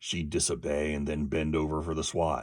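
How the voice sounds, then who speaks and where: A man puts on a raspy character voice at a very deep, low pitch. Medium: read story. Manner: hesitant, troubled.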